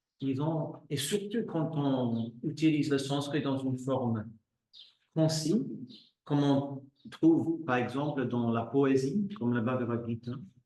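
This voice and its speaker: In an English accent, this voice speaks very slowly with ordinary pitch variation, and audible room echo surrounds it. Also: man, fairly high pitch for a man. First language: English (speaking French). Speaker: yoga teacher. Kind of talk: lecture. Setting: live class. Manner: halting.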